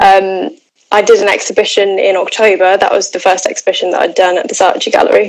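A woman speaks at a very fast pace. She has a southern English accent. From Oxfordshire, England. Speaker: painter. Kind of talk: interview. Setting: live stream.

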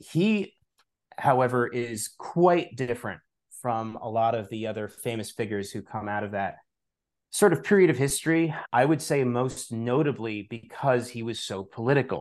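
This man has a plain, everyday voice at a medium pitch, with an American accent. His intonation is lively, his pace moderate, and the background quiet. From New York, Long Island. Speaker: author and spirituality teacher. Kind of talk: interview conversation.

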